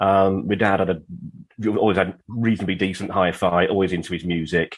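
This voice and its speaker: A man talks at a fairly quick pace in a very deep, low pitch. His intonation stays fairly even. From southern England, Watford. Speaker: audio equipment repairer. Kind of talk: casual chat.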